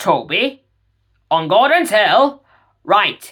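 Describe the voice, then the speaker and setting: The put-on character voice sits fairly high and makes very wide pitch swings. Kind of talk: children's railway story. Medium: read story. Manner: stern, authoritative.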